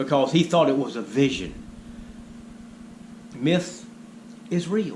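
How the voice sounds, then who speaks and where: Audible room echo surrounds a man with a high pitch. He talks at a fairly slow pace with lively intonation. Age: 60s. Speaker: spiritual video blogger. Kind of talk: monologue storytelling.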